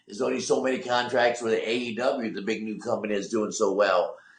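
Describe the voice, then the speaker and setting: Noticeable background noise runs behind a man. He talks at a fairly quick pace in an animated tone. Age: 60s. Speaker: wrestling manager. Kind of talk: casual chat. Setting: podcast.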